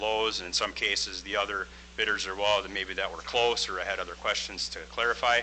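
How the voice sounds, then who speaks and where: A man speaks at a moderate speed while noticeable noise sits in the background. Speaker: construction project manager. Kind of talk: business presentation.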